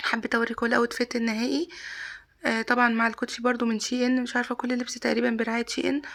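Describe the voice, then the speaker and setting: Speaking very fast with very even loudness and fairly even intonation, a woman with a high voice is heard over noticeable background noise. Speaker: vlogger. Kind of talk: casual vlog.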